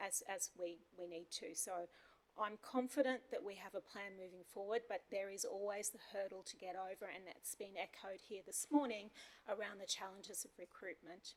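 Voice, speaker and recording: Medium-pitched female speech, moderately paced and fairly even in intonation. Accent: Australian. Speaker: council manager. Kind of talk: formal report at council meeting.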